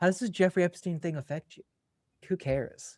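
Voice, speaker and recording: With an American accent, a man talks at a fairly quick pace and high pitch, the sound dry and close with no echo. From US West Coast, Berkeley California. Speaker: vagus nerve educator. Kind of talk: podcast interview, casual chat. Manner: casual, filler-heavy speech.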